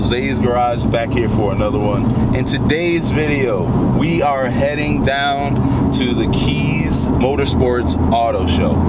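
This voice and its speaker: A man speaks fairly slowly while music plays behind him. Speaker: car channel vlogger. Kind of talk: casual vlog chat. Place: car.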